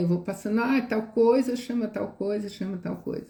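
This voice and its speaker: A woman's somewhat breathy voice has a dark, mellow tone. Her intonation is lively. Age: 60s. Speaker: educator. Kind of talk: live stream talk. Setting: live stream.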